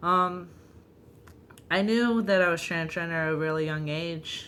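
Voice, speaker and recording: Speaking at a fairly slow pace, a woman with a fairly low pitch and a bright, sharp tone is heard with audible room echo. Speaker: vlogger. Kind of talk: personal vlog. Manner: hesitant, frequent ums.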